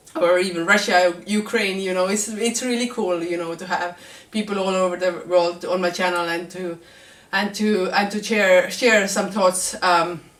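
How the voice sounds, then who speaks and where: Over noticeable background noise, a woman speaks at a moderate pace, with medium pitch and fairly even intonation. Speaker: vlogger. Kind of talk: vlog monologue.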